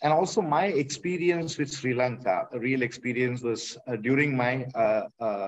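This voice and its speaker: A man with a Tamil accent speaks at medium pitch and a moderate pace, with ordinary pitch variation. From Kerala, India. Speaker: artist. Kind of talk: panel discussion. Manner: halting, many fillers.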